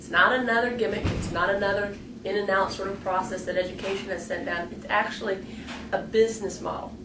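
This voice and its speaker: Over noticeable background noise and audible room echo, a woman speaks at a very fast pace. Her pitch is medium, with ordinary pitch variation. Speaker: educator / staff trainer. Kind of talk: instructional video lecture.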